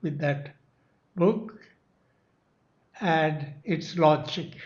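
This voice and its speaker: Audible room echo surrounds a man speaking very slowly. His voice is fairly high for a man, and his intonation stays fairly even. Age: 90s. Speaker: author of a memoir. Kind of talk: speech at a book launch.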